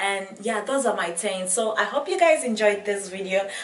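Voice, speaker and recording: With audible room echo, a woman of medium pitch speaks at a fairly slow pace. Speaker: beauty and lifestyle vlogger. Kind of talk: casual vlog talk to camera. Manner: animated.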